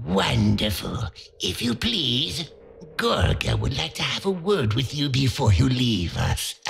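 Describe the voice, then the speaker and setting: With music in the background, a man at medium pitch talks at a fairly slow pace through very wide pitch swings. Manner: silky, overly polite, sinister.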